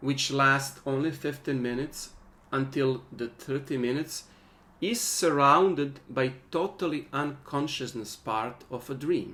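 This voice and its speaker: A man's fairly high, bright, sharp voice with a non-native accent, fairly slow and with ordinary pitch variation, in audible room echo. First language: not English. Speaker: workshop teacher. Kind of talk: online workshop lecture. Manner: halting.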